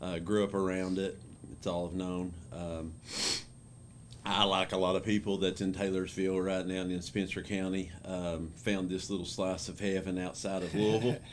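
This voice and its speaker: In an Appalachian accent, a man speaks with a very deep, low pitch and monotone, flat intonation at a moderate pace, with audible room echo. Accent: Appalachian Kentucky. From Eastern Kentucky mountains. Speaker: school principal. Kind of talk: interview. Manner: many fillers like uh and um.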